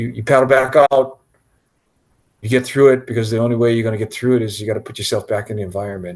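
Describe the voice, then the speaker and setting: A man with a medium-pitched voice talks very fast in a fairly even tone, broken by long, frequent pauses. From Hawaii, Kaneohe. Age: 60s. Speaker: big wave surfer. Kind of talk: interview.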